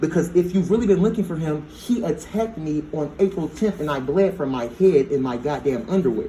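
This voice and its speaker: Noticeable background noise sits behind a man with a high-pitched, animated voice, lively intonation and a fairly quick pace with hardly any pauses. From United States. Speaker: complainant in police interview. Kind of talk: heated police interview. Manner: fast.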